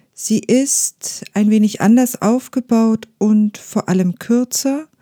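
Somewhat breathy and fairly high for a woman, her voice has a dark, mellow tone and a calm, soothing quality, with a dry, close sound with no echo on a very clean recording with a silent background. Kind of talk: guided meditation. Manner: slow, soft-spoken; calm, soothing, with long pauses.

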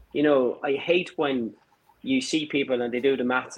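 This man speaks in an Irish accent. His pitch is fairly high, with ordinary variation. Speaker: engineering firm owner. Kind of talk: casual chat.

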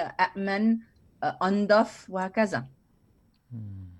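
A woman is speaking. The background is quiet. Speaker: university lecturer and food heritage advocate. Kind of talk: casual interview. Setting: online remote recording.

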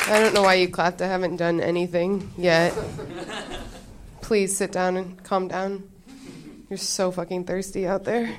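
Monotone and flat in intonation, the speaker keeps a moderate pace with long, frequent pauses over noticeable background noise. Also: woman, medium pitch for a woman. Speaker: comedian. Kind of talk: stand-up. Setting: stage with audience.

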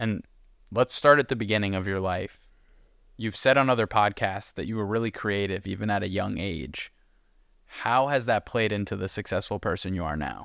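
A man speaks at a moderate pace in an ordinary speaking voice, his pitch fairly low with ordinary pitch variation, on a very clean recording with a silent background. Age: 20s. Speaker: podcast host. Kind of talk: casual interview.

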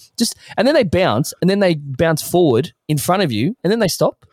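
A man with an Australian accent, high pitch and very wide pitch swings, in a dry, close sound with no echo. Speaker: podcast guest. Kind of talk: casual chat. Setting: remote call.

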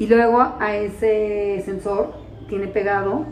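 Someone talks in a Mexican accent with audible room echo and music in the background. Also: woman. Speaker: podcast co-host, mother of diabetic child. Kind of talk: casual chat.

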